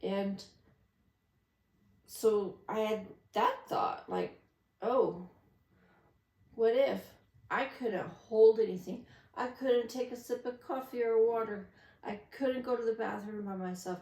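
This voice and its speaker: A woman's fairly high-pitched voice, dark and mellow in tone, at a very slow pace with fairly even intonation and long, frequent pauses. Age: 50s. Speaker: vlogger. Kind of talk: casual monologue. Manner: rambling.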